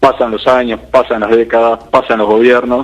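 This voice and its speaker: An unremarkable speaking voice at a fairly quick pace. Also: man. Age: 40s. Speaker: interviewer, show host. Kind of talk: interview.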